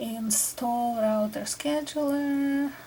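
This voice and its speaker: A soft-spoken woman with a Russian accent talks in a high voice with a dark, mellow tone. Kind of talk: ASMR tutorial.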